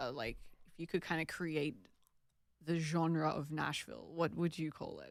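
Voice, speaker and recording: A woman's very deep, low voice with vocal fry and an Australian accent, big swings in loudness, fairly even intonation, a moderate pace with long, frequent pauses, on a very clean recording with a silent background. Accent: Australian, noticed by guest. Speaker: podcast host. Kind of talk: casual interview.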